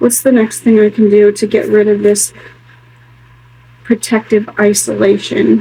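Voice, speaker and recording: A woman speaks at a fairly high pitch in a monotone, flat intonation, her loudness very even. She keeps a moderate pace broken by long, frequent pauses. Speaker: spiritual tarot vlogger. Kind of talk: solo tarot reading vlog. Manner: quiet, near whisper.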